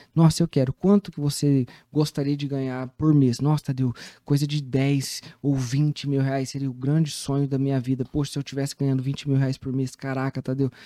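Fairly high in pitch yet dark and mellow in tone, a man talks at a fairly quick pace in a flat monotone, the sound dry and close with no echo. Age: 30s. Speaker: mentor and business coach. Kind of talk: casual interview. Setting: studio.

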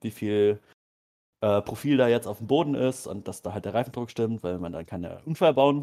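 A man talks at medium pitch and a moderate pace. Music plays in the background. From rural Germany. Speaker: podcast co-host. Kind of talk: casual chat.

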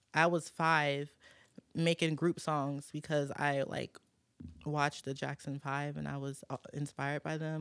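Very deep, low female voice in monotone, flat intonation at a fairly slow pace, with a dry, close sound, no echo, and a very clean recording over a silent background. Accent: American. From New Orleans, then Michigan and Virginia. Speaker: recording artist. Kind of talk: casual chat.

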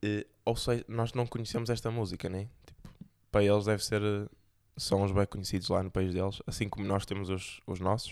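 A man speaks with a European Portuguese accent at a moderate pace. The recording is very clean, with a silent background. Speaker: podcast host. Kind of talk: casual monologue.

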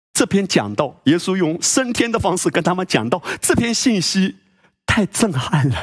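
With very wide pitch swings, a man talks in a high pitch at a moderate pace, the sound dry and close with no echo. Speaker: pastor. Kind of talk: sermon. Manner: animated.

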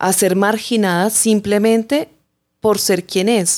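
The recording is very clean, and the background is silent. A woman talks at a very slow pace. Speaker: journalist, chronicle writer. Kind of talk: interview, storytelling.

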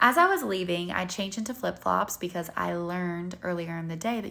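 A woman with a Southern US accent speaks at a moderate pace. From North Carolina. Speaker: podcast host and model. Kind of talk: casual solo podcast monologue.

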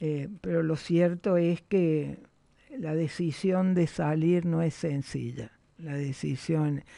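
With a quiet background, the words come at a very slow pace. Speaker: journalist and former politician. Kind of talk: interview. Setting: studio.

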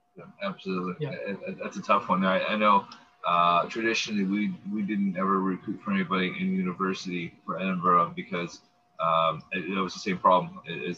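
A man is speaking at a fairly quick pace. Background noise is noticeable. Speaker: co-host, former baseball league president. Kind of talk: casual chat.

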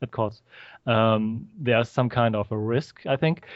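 With a German accent, a man speaks at a fairly slow pace. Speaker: filmmaker. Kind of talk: interview. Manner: halting.

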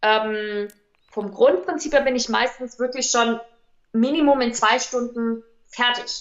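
Her voice is high, and she speaks at a very slow pace. Long pauses come often. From Hesse, Offenbach district. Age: 20s. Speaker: bridal stylist and makeup artist. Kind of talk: podcast interview.

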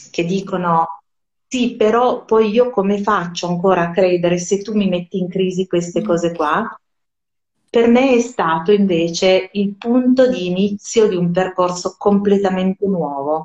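A woman at a medium pitch speaks in an ordinary speaking voice. Her pace is fairly slow and her pitch varies in an ordinary way. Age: 40s. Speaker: Hebrew scholar, musician and writer. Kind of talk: casual interview. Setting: live stream.

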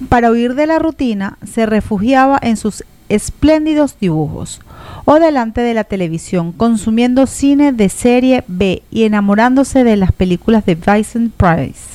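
Noticeable background noise sits behind a woman with a fairly high pitch. She speaks at a fairly slow pace with lively intonation. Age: 40s. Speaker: radio host. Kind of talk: scripted narration.

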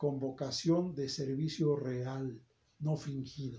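This is a man's voice. It sounds somewhat breathy. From Mexico, State of Mexico (Toluca area). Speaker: academic and political aspirant. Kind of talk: interview. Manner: formal.

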